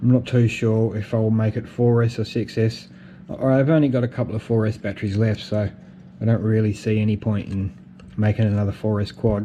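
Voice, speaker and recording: A man talks at a fairly quick pace in an Australian accent. His pitch is fairly low and his intonation monotone and flat. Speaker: FPV drone hobbyist. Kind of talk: casual talk to camera. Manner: hesitant, repeats words.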